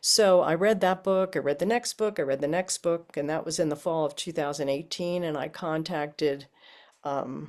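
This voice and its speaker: On a very clean recording with a silent background, a woman with a very deep, low voice speaks at a moderate pace with ordinary pitch variation. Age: 70s. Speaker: spiritual group participant. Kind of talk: testimony. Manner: halting.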